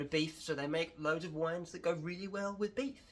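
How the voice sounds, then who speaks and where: A man with a southern English accent, fairly high pitch, a bright, sharp tone, ordinary pitch variation and a fairly quick pace. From England. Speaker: wine educator. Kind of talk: casual tutorial vlog.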